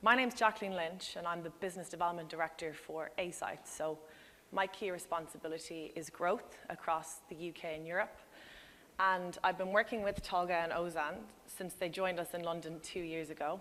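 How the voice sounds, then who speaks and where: In an Irish accent, a woman speaks fairly quickly in a fairly low voice, with fairly even intonation and a bright, sharp tone. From Ireland. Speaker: business development director, conference speaker. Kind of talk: conference presentation.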